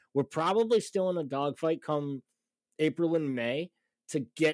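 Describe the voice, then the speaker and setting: The recording is very clean with a silent background, dry and close with no echo. A man speaks in a normal speaking voice at a fairly high pitch with ordinary pitch variation. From Massachusetts, US. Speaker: soccer podcast host. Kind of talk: casual chat.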